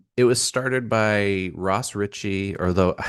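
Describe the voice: Fairly slow speech in a Northeastern US accent, with a quiet background and a dry, close sound with no echo. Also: man.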